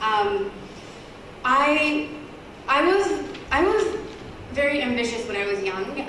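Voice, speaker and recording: A woman speaks with an American accent and ordinary pitch variation. Noticeable background noise and audible room echo surround her voice. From United States. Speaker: entrepreneur, health company CEO. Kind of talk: guest talk to university audience.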